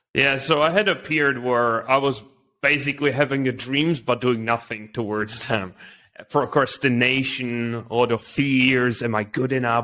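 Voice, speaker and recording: A man with a Czech accent, medium pitch and bright, sharp tone, at a moderate pace with fairly even intonation. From Czech Republic. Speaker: entrepreneur. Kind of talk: interview.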